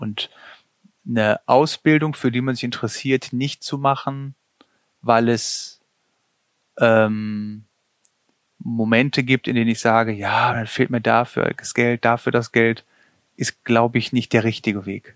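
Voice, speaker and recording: Dry and close with no echo, a man's medium-pitched voice moves at a very slow pace with fairly even intonation and long, frequent pauses. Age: 40s. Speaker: paramedic and vocational school teacher. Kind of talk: interview.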